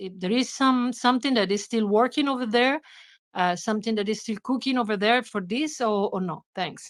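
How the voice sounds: At a moderate pace, a woman talks with a fairly high pitch and ordinary pitch variation.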